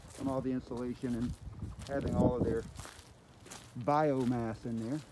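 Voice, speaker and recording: With noticeable background noise behind it, the talking proceeds at a moderate pace. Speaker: backyard chicken keeper. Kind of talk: casual vlog narration. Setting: outdoors.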